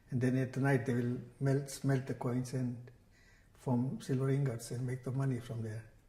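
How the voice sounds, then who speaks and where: A man's medium-pitched, somewhat breathy voice with a dark, mellow tone, fairly even intonation, a moderate pace, and audible room echo. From Kenya. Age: 70s. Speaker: religious scholar and teacher. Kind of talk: oral history interview. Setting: temple community centre.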